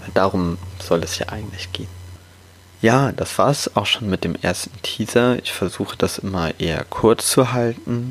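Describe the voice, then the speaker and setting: A man with a plain, everyday voice, fairly low pitch, ordinary pitch variation and a moderate pace. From Hamburg, northern Germany. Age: 20s. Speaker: podcast host and coach. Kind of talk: podcast intro monologue.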